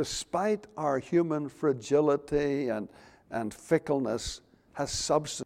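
Fairly high in pitch, a man talks at a fairly slow pace. He has an ordinary speaking voice. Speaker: preacher. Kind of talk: sermon. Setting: church. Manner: formal.

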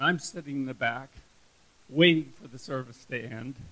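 This man's bright, sharp tone sits at a medium pitch, his intonation fairly even. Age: 70s. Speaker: church member giving testimony. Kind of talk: testimony. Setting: church gathering with audience.

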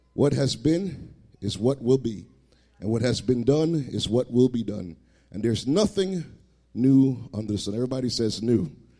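A man with a medium pitch speaks in a warm, dark and mellow tone with lively intonation. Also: moderate pace. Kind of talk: sermon. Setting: church. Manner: warm, conversational preacher.

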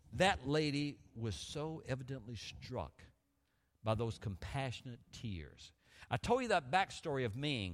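Vocal fry marks this man's speech, which moves at a fairly slow pace with very wide pitch swings on a very clean recording against a silent background. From US South, Montgomery, Alabama. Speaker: guest preacher. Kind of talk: sermon. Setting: church.

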